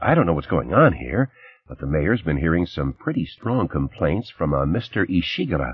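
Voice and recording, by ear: Using a put-on character voice, a man speaks low with a slightly husky edge, big pitch swings and a moderate pace.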